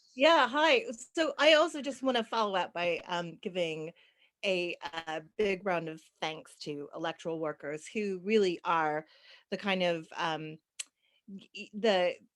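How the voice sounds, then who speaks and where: A plain, everyday voice from a woman with an American accent, medium in pitch, with lively intonation, big swings in loudness and a fairly slow pace, on a very clean recording with a silent background. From United States. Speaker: panelist. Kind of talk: panel discussion.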